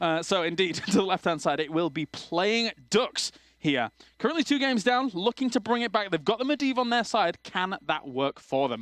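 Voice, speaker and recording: A man with an English accent speaks at a high pitch and a moderate pace. His pitch swings very widely, and the sound is dry and close with no echo. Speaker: esports caster. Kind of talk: live commentary.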